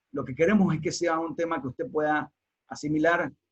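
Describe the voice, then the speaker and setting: A man with a Panamanian accent, fairly high-pitched, with ordinary pitch variation and a fairly quick pace. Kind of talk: online teaching talk.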